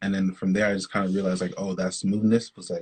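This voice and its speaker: A man at a very fast pace, fairly low in pitch, with monotone, flat intonation. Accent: slight Canadian. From Canada. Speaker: R&B singer-songwriter. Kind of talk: casual interview.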